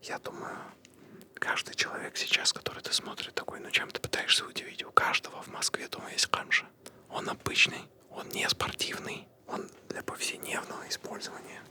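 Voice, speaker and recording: A man whispering at a moderate pace in a calm tone, with big swings in loudness and noticeable background noise. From grew up in Kazakhstan, lives in Moscow. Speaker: comedian and podcast co-host. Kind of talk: whispered personal story told to camera for ASMR. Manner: whispered, soft, calm.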